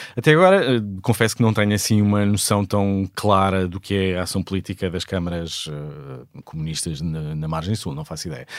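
A man with a very deep, low voice and ordinary pitch variation talks at a moderate pace in a very clean recording with a silent background. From Portugal, Sesimbra south of Lisbon. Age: 40s. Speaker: theatre director. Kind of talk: interview.

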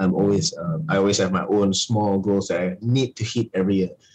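Music plays in the background as a man talks. His pitch is fairly low and his pace moderate. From Malaysia. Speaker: pro wrestler and wrestling promoter. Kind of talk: interview.

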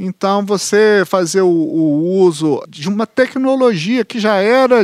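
A man with a high pitch and lively intonation, in a dry, close sound with no echo. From Belo Horizonte, Minas Gerais, Brazil (Venda Nova). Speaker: historian and author. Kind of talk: interview.

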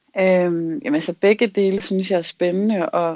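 A woman with a plain, everyday voice speaks at a moderate pace with fairly even intonation. The background is quiet. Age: 30s. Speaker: self-employed dreamer sharing a dream. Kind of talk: casual chat.

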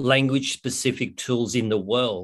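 Against a quiet background, the speaker talks with an Australian accent and ordinary pitch variation. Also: man. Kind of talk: interview. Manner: halting.

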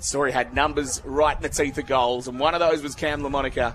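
Music plays in the background as a man speaks. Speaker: football commentator. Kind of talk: live sports commentary. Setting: radio broadcast of a live match.

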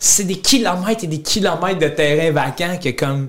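A man with a Gaspésie accent talks at a moderate pace in a high pitch for a man, his animated tone carrying ordinary pitch variation over noticeable background noise. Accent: Gaspésie Quebec French. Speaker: comedian and content creator. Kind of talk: casual interview chat. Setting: studio.

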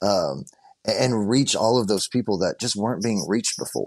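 A man talks with a Texan accent. His pitch is medium. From Southeast Texas. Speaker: produce farmer and social media creator. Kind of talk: interview.

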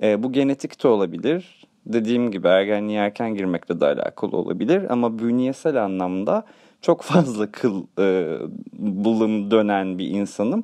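Against a quiet background, a man with a dark, mellow tone and fairly low pitch speaks at a moderate pace with ordinary pitch variation. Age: 30s. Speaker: radio show host. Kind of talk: comedic monologue.

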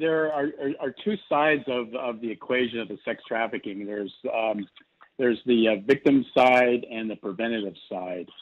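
An ordinary speaking voice from a man at a medium pitch, with ordinary pitch variation and a moderate pace. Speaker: nonprofit chairman. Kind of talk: interview.

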